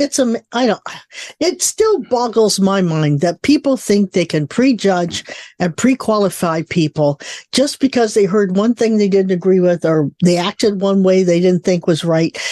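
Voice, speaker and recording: The recording is dry and close, with no echo. A woman talks in a dark, mellow tone with lively intonation. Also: medium pitch for a woman, moderate pace, quiet background. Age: 70s. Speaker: psychic radio show host. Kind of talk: casual chat.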